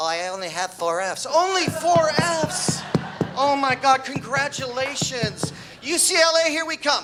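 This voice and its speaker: Over noticeable background noise, a man projects a raised voice at an extremely high pitch, with very wide pitch swings and a fairly slow pace. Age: 60s. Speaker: amateur comedian, wrestling coach. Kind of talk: stand-up comedy set.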